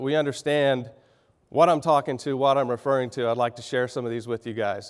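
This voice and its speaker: A man with a Texan accent, medium in pitch, fairly quick in pace and fairly even in intonation. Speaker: business executive. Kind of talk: keynote speech. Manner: halting, clearing throat.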